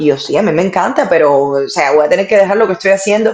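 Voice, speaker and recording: A woman speaks at medium pitch with a Cuban accent. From Cuba, Havana. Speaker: sports presenter and interviewer. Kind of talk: interview storytelling.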